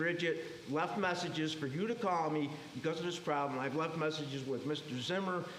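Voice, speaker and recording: A fairly high-pitched man at a fairly quick pace, with audible room echo and noticeable background noise. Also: ordinary pitch variation, very even loudness. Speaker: resident speaking at public comment. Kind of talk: public comment at town board meeting. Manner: fast; agitated.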